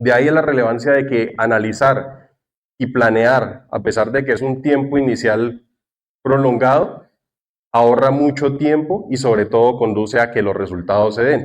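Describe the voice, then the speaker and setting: A man speaks with a Santander Colombian accent. His pitch varies in an ordinary way. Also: medium pitch for a man, fairly slow pace. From Colombia, Santander. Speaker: cloud architect and tech content creator. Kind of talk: conference talk.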